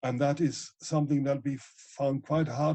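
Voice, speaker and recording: The man's voice is somewhat breathy, with a dark, mellow tone. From Germany, Ruhr area (Essen). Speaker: ecologist and author. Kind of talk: interview.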